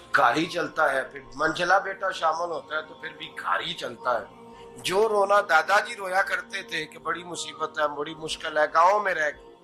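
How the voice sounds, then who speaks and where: A man speaks in a high voice with big swings in loudness. Music plays behind him. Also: ordinary pitch variation. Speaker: Islamic scholar and preacher. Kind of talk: Islamic sermon (bayan).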